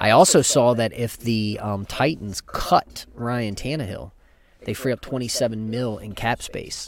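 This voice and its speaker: A man with a plain, everyday voice, medium pitch, ordinary pitch variation and a fairly slow pace. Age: 40s. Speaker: sports podcast host. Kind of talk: casual chat.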